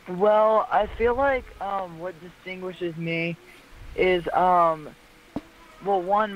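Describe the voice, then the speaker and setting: Speaking at a very slow pace with long, frequent pauses, a man uses fairly even intonation in a high pitch. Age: young. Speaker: pop musician being interviewed.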